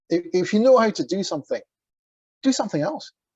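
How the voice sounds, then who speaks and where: Pitch swings very widely at a moderate pace. The tone is dark and mellow, and the sound is dry and close with no echo. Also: man. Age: 60s. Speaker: business leader. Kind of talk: interview. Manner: halting.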